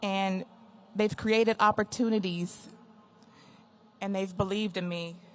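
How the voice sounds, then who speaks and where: A woman talks in an American accent at a fairly slow pace. Her intonation is monotone and flat, with long, frequent pauses. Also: medium pitch for a woman. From Texas, Wichita Falls. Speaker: retiring air force chief master sergeant. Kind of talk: retirement speech. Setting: ceremony with audience. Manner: loud.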